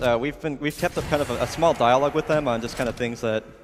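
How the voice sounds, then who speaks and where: Medium pitch and ordinary pitch variation in a man's voice, noticeable background noise behind it. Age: 20s. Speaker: speedrun commentator. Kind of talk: live commentary.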